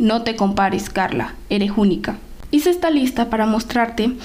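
Amid noticeable background noise and audible room echo, a woman talks at a moderate pace. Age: 20s. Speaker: podcast host. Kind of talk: motivational monologue.

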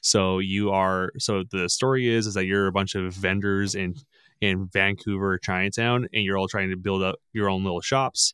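An unremarkable speaking voice from a man, fairly low in pitch with fairly even intonation, dry and close with no echo, on a very clean recording with a silent background. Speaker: podcast guest and gamer. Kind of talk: casual chat. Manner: profane, laughing.

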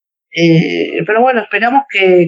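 In a Rioplatense accent, a woman talks at a fairly low pitch, recorded dry and close with no echo. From Argentina. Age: 30s. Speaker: para-badminton athlete. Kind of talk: interview. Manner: halting, many fillers and repetitions.

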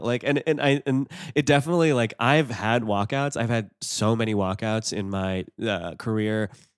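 A man speaks in a normal speaking voice at a medium pitch with lively intonation. The recording is very clean, with a silent background. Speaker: stand-up comedian. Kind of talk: casual interview chat.

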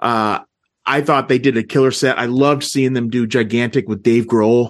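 Speech comes at a moderate pace in an ordinary speaking voice, with ordinary pitch variation. Nothing else is heard behind it. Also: man. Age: 40s. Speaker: music fan, movie review podcaster. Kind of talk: casual chat.

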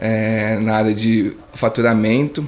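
Medium pitch from a male speaker, noticeable background noise behind it. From interior of São Paulo state, Brazil. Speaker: startup founder. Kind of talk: interview.

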